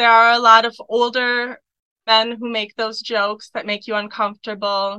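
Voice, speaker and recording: A woman with a fairly high pitch and an American accent speaks at a moderate pace in a monotone, flat intonation. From USA. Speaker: exchange student. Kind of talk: interview.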